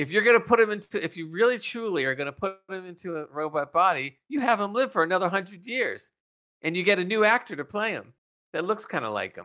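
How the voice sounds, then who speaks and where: A man with a raised, projected voice, high pitch, a bright, sharp tone and a very fast pace. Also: lively intonation. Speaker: podcast co-host. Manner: casual, conversational.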